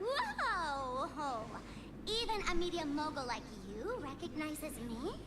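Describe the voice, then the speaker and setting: A put-on character voice speaks at a high pitch and fairly slow pace. Loud background noise fills the clip. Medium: game stream. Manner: playful, teasing.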